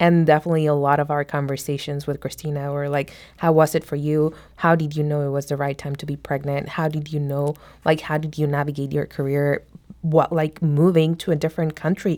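A woman speaks in a very deep, low voice with a dark, mellow tone. Her intonation is flat and monotone, with a non-native accent. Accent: foreign-accented English. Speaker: immigrant mentee in a mentoring program. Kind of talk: radio interview.

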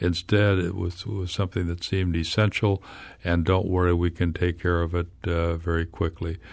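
With an American accent and a quiet background, a man speaks at a moderate pace in a very deep, low, flat monotone. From US Midwest, Illinois. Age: 70s. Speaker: historian and author. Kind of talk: radio interview. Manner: halting, with many repetitions.

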